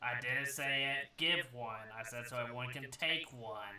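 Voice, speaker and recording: A man puts on a raspy character voice at medium pitch. His intonation stays fairly even. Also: moderate pace. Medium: actual play. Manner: practical, earnest.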